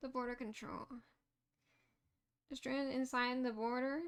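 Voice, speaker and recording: A woman speaks in a high pitch at a fairly slow pace. Her intonation is monotone and flat. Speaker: game streamer. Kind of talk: live gameplay commentary.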